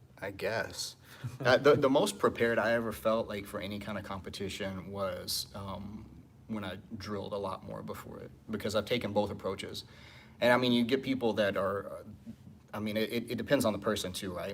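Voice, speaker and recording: A man's fairly low voice with big swings in loudness and fairly even intonation. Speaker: jiu-jitsu instructor. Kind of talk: live Q&A.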